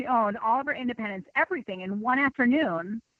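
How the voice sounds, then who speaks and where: Speaking at a moderate pace with a slight Minnesota accent, a woman has a high pitch and ordinary pitch variation. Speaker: nutrition consultant. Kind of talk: interview.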